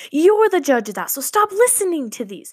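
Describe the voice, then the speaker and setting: This woman talks at a fairly quick pace. Her tone is animated, and her pitch swings very widely. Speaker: podcast host. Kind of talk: pep talk. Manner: animated, preachy and motivational.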